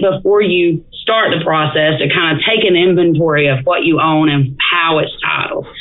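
A woman with an Alabama accent speaks at a moderate pace and fairly low pitch, with audible room echo and noticeable background noise. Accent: Southern US (Alabama). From northeast Alabama, DeKalb County. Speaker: estate planning attorney. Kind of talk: casual interview. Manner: frequent fillers (um, uh).

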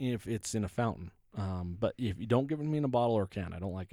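Speaking very fast at medium pitch, a man has a dark, mellow tone and lively intonation, recorded dry and close with no echo. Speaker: restaurant review podcast co-host. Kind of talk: casual banter.

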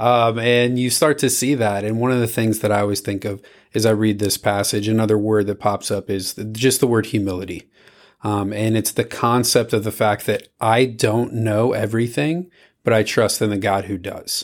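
A normal speaking voice moves at a moderate pace with fairly even intonation, captured in a very clean recording with a silent background. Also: man, fairly low pitch for a man. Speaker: youth ministry podcast host. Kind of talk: scripture reading and devotional discussion.

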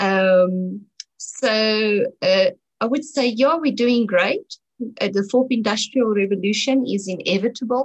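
A woman talks very slowly at a mid-range pitch, her pitch varying in a typical way. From South Africa, North West (Brits). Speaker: environmental activist. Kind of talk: interview. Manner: hesitant, many fillers.

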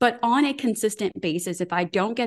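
Animated tone from a woman, with ordinary pitch variation, against a quiet background. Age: 40s. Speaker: women's health expert. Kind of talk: interview.

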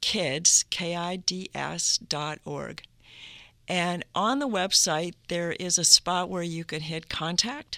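Bright and sharp in tone, a woman speaks with an American accent and ordinary pitch variation. Her pace is very slow, and her loudness swings widely. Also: fairly low pitch for a woman, dry, close sound with no echo. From northern Minnesota (Duluth). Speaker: abstract painter and art educator. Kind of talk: interview.

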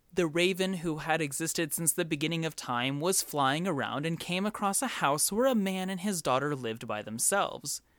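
Speaking at a moderate pace with hardly any pauses, a man uses a high pitch, lively intonation and an animated, playful tone. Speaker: podcast host. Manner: animated, playful and conversational, with wry asides and mock disbelief; enthusiastic, warm.

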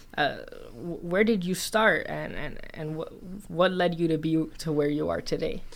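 A woman speaks at a fairly slow pace in a fairly low voice with vocal fry and ordinary pitch variation. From Miami (born in the Netherlands, Cuban parents). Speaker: podcast host, nonprofit founder. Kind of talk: interview. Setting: studio. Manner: halting with repeated words.

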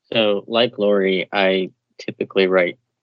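A man with a very deep, low pitch talks at a fairly slow pace. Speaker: writer and panelist. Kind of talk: panel discussion.

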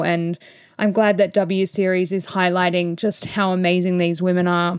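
The recording is very clean, its background silent. A woman with an Australian accent talks at a medium pitch. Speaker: motorsport podcast host. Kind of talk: solo race review. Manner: animated.

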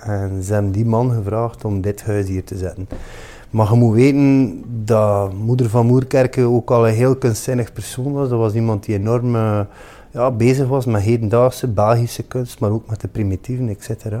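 Dark and mellow in tone, a man's voice sits at a medium pitch, moving at a moderate pace with fairly even intonation. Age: 40s. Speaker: chef. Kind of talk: monologue interview answers. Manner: halting, many fillers.

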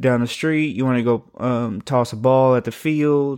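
A man with an unremarkable speaking voice talks in a medium pitch at a fairly slow pace, with fairly even intonation. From US military town. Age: 30s. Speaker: podcast host. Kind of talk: personal monologue.

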